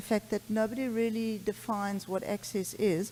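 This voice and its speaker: The woman's pitch sits fairly high. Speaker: pediatrics professor and allergy clinician. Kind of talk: conference talk. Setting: conference stage with audience. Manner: fast.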